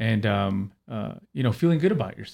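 Here a man talks at a moderate pace in an unremarkable speaking voice with a medium pitch. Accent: American. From Los Angeles. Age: 40s. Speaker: mental health professional. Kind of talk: casual interview.

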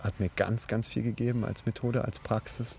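The voice moves at a fairly slow pace in a dark, mellow tone. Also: man. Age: 30s. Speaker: podcast host, parkour coach and sports student. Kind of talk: casual chat. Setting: outdoors in a forest.

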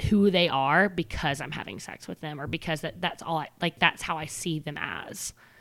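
Recorded very cleanly with a silent background and a dry, close sound with no echo, a woman with an ordinary speaking voice talks at a moderate pace, her fairly low pitch showing ordinary variation. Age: 20s. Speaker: podcast co-host. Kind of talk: casual chat.

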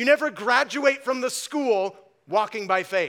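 Raising and projecting his voice, a man speaks with an American accent at an extremely high pitch. His tone is bright and sharp, with ordinary pitch variation. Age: 40s. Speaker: pastor. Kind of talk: sermon. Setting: church.

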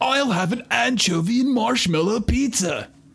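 A man puts on a character voice at an extremely high pitch, moving at a moderate pace. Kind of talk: surfer dude.

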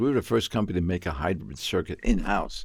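Speaking at a fairly quick pace, a man with an American accent sounds somewhat breathy. The recording is very clean, with a silent background. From New York, South Bronx. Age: 80s+. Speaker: med tech entrepreneur. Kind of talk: interview.

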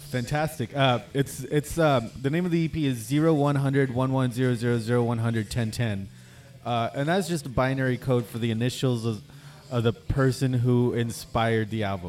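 In a normal speaking voice, a man talks at a medium pitch and a moderate pace. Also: ordinary pitch variation. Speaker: acoustic musician. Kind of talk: casual chat. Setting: bar.

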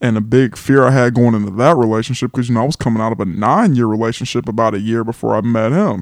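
A very fast pace in an American accent, with hardly any pauses, fairly even intonation and a quiet background. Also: man, medium pitch for a man. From Los Angeles, California. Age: 20s. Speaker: guest co-host. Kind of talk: casual chat.

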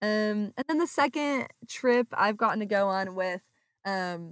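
A woman with an American accent speaks in a normal speaking voice at medium pitch, fairly slowly and with lively intonation, in a very clean recording with a silent background and a dry, close sound with no echo. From US West Coast, Orange County, California. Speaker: architecture student. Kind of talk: interview. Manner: many filler ums, frequent laughs.

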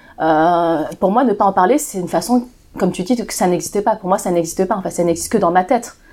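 A very fast-talking woman at medium pitch with a dark, mellow tone, on a very clean recording with a silent background. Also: ordinary pitch variation. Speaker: association founder. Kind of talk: casual chat.

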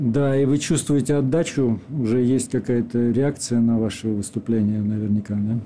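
In an ordinary speaking voice, a man of medium pitch talks at a moderate pace with fairly even intonation, very even loudness and hardly any pauses. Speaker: radio host. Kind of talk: radio show hosting and interview. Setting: studio.

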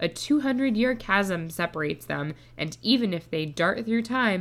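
Music plays in the background. A woman talks at a moderate pace with lively intonation. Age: 20s. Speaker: podcast co-host. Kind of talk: casual chat.

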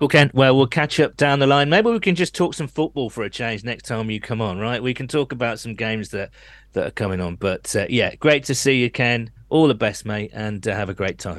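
A medium-pitched man with a British accent, lively intonation and a fairly quick pace, hardly any pauses, against a quiet background. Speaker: podcast host. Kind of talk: casual chat.

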